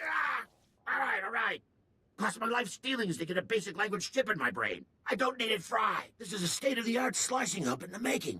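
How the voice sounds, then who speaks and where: A man's raised, projected character voice, put on at a high pitch and a fairly quick pace. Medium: video game. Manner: fast, excitable, slangy.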